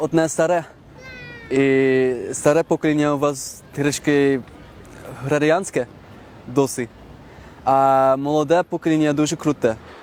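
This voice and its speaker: A man's fairly high voice with a Dutch accent, fairly slow and fairly even in intonation, very even in loudness, with long, frequent pauses, a dry, close sound with no echo, and noticeable background noise. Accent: Dutch accent in Ukrainian. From Netherlands, Amsterdam. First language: Dutch (speaking Ukrainian). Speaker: foreign resident interviewee. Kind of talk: interview.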